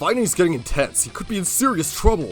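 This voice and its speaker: A put-on character voice at a very fast pace, with very wide pitch swings, big swings in loudness and clear music in the background. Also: man. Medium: audio drama. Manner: blunt, forceful.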